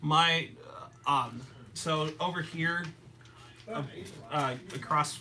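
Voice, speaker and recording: With audible room echo around him, a man talks at a very slow pace and a fairly high pitch, leaving long, frequent pauses. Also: fairly even intonation. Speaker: card game youtuber. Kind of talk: live stream casual card game play. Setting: live stream, in person across a table. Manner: halting, repeats words.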